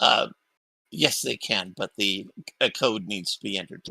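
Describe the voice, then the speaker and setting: In a put-on character voice, a raspy man speaks fairly low at a moderate pace with fairly even intonation and big swings in loudness, on a very clean recording with a silent background. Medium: actual play.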